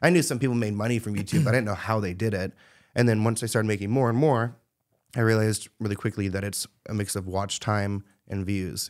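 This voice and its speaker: A man with a normal speaking voice, fairly low in pitch, at a fairly quick pace with fairly even intonation against a quiet background. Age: 20s. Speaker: celebrity gossip YouTuber. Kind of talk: casual interview chat. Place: studio. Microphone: studio mic.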